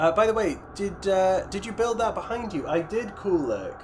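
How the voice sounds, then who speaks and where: A man talks at a moderate pace with ordinary pitch variation. There is noticeable background noise. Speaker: miniature painting streamer. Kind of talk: casual livestream chat reading viewer comments. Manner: stuttering, tripping over words; hesitant, many fillers.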